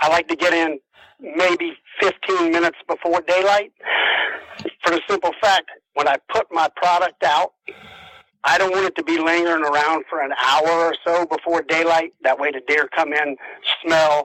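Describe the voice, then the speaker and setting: This man speaks with a South Carolina accent at a high pitch, leaving long, frequent pauses. His intonation stays fairly even, and the sound is dry and close with no echo. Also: moderate pace. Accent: Southern US (South Carolina). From US South, South Carolina low country. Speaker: deer and turkey hunter. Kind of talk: interview. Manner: casual, some stammering.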